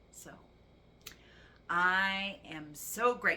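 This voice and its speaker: A woman's bright, sharp tone with audible room echo. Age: 60s. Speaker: vlogger. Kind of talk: personal testimony vlog.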